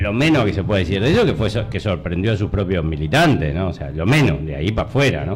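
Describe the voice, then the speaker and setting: The speech comes very fast, with very wide swings in pitch. Room echo is audible, and background noise is noticeable. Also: man, very deep, low pitch for a man. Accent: Uruguayan. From Uruguay, Montevideo. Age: 60s. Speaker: retired army colonel and former mayoral candidate. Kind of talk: interview. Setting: radio studio. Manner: halting, many fillers.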